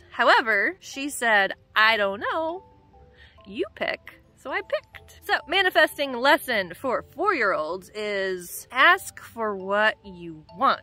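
A woman speaks at a very slow pace and a high pitch, with big swings in loudness. The sound is dry with no echo, and faint music plays in the background. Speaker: travel vlogger mom. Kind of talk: casual vlog chat. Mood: cheerful, storytelling. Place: beach. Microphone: phone near.

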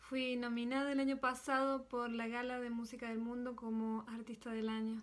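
Delivered at a moderate pace, the speech has monotone, flat intonation. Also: woman. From Argentina, Córdoba; Argentina. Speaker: percussionist and singer. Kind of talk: recorded video greeting. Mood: warm, smiling. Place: home room. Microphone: phone near.

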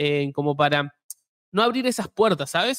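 Against a quiet background, a man with a Rioplatense accent speaks with lively intonation. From Argentina or Uruguay. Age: 20s. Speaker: YouTube host. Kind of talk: live interview. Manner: halting, many fillers. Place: home room. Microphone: studio mic.

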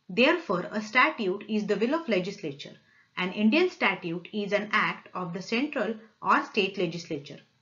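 Moderate-paced speech from a woman, the background quiet. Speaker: law lecturer. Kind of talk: lecture. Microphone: webcam.

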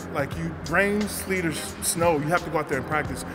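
Speech comes at a fairly quick pace with ordinary pitch variation. Noticeable background noise sits behind it. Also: man. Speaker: interviewee. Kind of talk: interview answer. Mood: cheerful, smiling storytelling. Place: hall.

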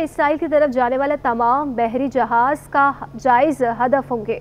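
Her words come at a moderate pace as a woman talks.

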